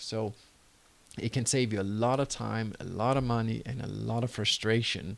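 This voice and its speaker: A man with a Danish accent speaks at a moderate pace in a medium pitch. His intonation stays fairly even. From Denmark. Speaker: entrepreneur and online course creator. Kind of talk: tutorial.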